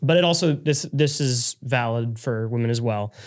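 An unremarkable speaking voice shows ordinary pitch variation. The recording is very clean, with a silent background. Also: man. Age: young. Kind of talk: casual chat.

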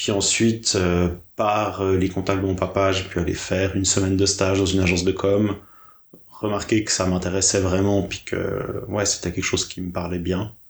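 A man speaks at a moderate pace with a very deep, low pitch. His voice is somewhat breathy, with monotone, flat intonation. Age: 30s. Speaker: graphic designer. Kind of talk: interview conversation.

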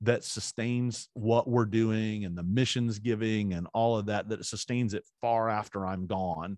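With an ordinary speaking voice, a man talks at a fairly slow pace, the sound dry and close with no echo against a quiet background. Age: 40s. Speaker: pastor and author. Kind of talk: interview.

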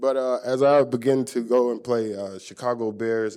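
In an American accent, a man speaks at a moderate pace with monotone, flat intonation. His dark, mellow tone sits over a quiet background. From Texas. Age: 40s. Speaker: former football player. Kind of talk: interview.

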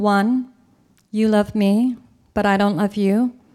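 The voice has a dark, mellow tone and an American accent, delivered in a monotone, flat intonation. The recording is very clean, with a silent background. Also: woman. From California. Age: 40s. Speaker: storyteller. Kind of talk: storytelling performance. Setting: stage with audience.

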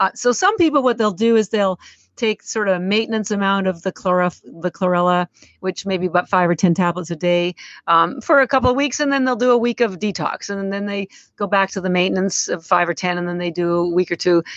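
At a fairly quick pace, a woman talks in an ordinary speaking voice, medium in pitch with ordinary pitch variation. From Canada. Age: 60s. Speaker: company founder. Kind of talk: casual interview.

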